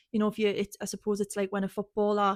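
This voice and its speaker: Over a very clean recording with a silent background, a woman with a dark, mellow tone speaks at medium pitch in a monotone, flat intonation, the sound dry and close with no echo. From northern England, Tyneside near North Shields. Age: 30s. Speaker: podcast host, scaffolder. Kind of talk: personal life story monologue. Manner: careful enunciation, trying to speak clearly; casual, many fillers and false starts.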